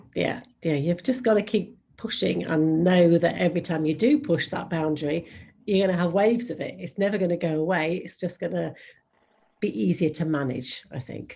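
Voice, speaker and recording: Speaking at a moderate pace in an English accent, a woman has a fairly low pitch, a dark, mellow tone and ordinary pitch variation. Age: 50s. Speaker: model and podcaster. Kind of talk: interview.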